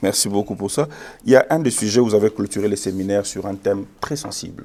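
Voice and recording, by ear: The speech comes at a fast pace in a dark, mellow tone with ordinary pitch variation. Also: man, fairly low pitch for a man.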